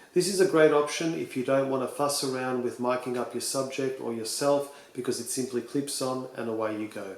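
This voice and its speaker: A man with an Australian accent, medium pitch, ordinary pitch variation, and a fairly quick pace, plus audible room echo and noticeable background noise. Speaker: tech reviewer. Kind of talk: tutorial.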